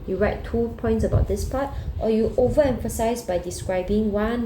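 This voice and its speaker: A woman speaks fairly quickly with ordinary pitch variation. Noticeable background noise and audible room echo surround her voice. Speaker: secondary school geography teacher. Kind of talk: recorded lesson walkthrough. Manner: fast.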